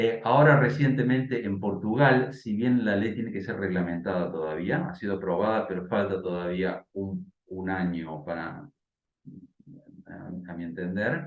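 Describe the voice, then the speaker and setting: A man with a fairly low pitch speaks at a fairly slow pace, his intonation lively and his loudness swinging widely. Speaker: bioethicist. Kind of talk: interview and debate. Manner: hesitant, many fillers.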